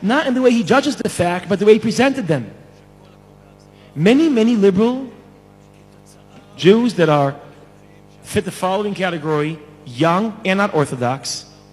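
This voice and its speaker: A man's high pitch with very wide pitch swings, a moderate pace and long, frequent pauses, over music in the background. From Israel. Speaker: scholar and lecturer. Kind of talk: conference speech. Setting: stage with audience.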